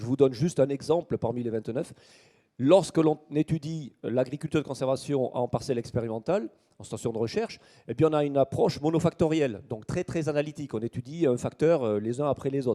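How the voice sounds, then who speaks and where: A man with a southern French accent talks at a fairly quick clip in a fairly high voice, with ordinary pitch variation, a dark, mellow tone and a dry, close sound with no echo. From southern France, Toulouse. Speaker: agronomy researcher. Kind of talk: conference talk. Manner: hesitant with frequent fillers.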